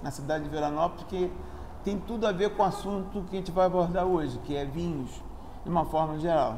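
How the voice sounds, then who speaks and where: A high-pitched male voice amid noticeable background noise and audible room echo. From Brazil, Rio de Janeiro. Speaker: engineer and sommelier student. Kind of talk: informal talk on wine. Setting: restaurant. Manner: halting, frequent self-corrections.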